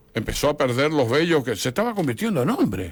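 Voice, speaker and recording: The voice moves through very wide pitch swings and carries vocal fry. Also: man. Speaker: historian and author. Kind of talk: radio interview.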